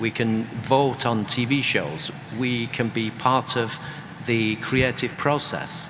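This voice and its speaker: Noticeable background noise sits behind a man speaking with a British accent and ordinary pitch variation. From UK. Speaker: author and creative economy expert. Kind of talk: panel discussion.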